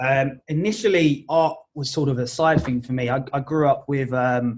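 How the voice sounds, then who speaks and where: A man speaks at a fairly slow pace and medium pitch. His voice is somewhat breathy with ordinary pitch variation. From Essex, England. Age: 20s. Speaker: art agent. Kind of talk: podcast interview.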